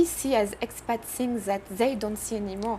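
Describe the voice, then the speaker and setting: A woman speaks in a French accent at a fairly slow pace. Her pitch is fairly high, with ordinary pitch variation. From France. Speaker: entrepreneur. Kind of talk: interview. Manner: halting.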